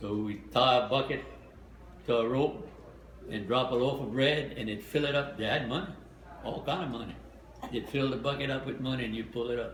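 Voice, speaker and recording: The speaker moves at a fairly quick pace with ordinary pitch variation and long, frequent pauses. Noticeable background noise is present throughout. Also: man, medium pitch for a man. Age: 80s+. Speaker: war veteran. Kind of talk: interview answer.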